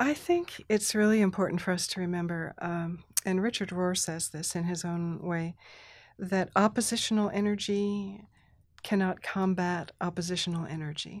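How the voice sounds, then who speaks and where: A woman with a normal speaking voice and an American accent talks at a moderate pace and medium pitch with fairly even intonation. The recording is very clean, with a silent background. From Thailand (mission community), then US. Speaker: Presbyterian minister and spiritual director. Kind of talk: casual chat.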